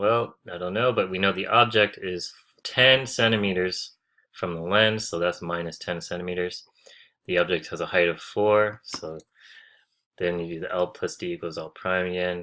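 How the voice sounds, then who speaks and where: With a very deep, low pitch and a bright, sharp tone, a man speaks at a moderate pace with fairly even intonation in a very clean recording with a silent background. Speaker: optometry tutor. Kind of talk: tutorial. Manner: casual, with fillers and self-corrections.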